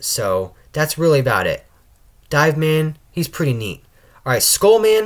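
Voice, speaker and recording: On a very clean recording with a silent background, a man speaks at a moderate pace in a fairly high pitch with very wide pitch swings. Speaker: gaming YouTuber. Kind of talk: casual video commentary. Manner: stuttering, halting; frequent filler words.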